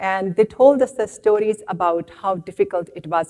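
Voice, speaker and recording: A woman's medium-pitched voice with an Indian accent, at a moderate pace. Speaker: professor. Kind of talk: lecture. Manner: halting.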